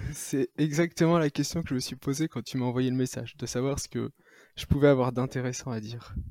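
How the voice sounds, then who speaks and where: In a dry, close sound with no echo, a man with a medium pitch and dark, mellow tone speaks at a fairly quick pace, his intonation fairly even but his loudness swinging widely. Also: very clean recording, silent background. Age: 30s. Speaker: ultra-trail runner. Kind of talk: interview.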